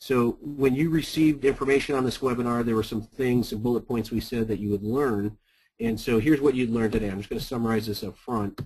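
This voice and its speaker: A man speaks very fast at a medium pitch, somewhat breathy. His intonation stays fairly even. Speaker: sales consultant and company founder. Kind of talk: webinar presentation. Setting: webinar.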